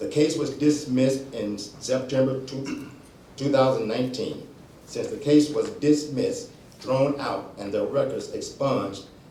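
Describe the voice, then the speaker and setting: A man with a fairly high voice and ordinary pitch variation, speaking at a fairly slow pace amid noticeable background noise and audible room echo. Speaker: pastor and community advocate. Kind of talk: public comment reading prepared statement.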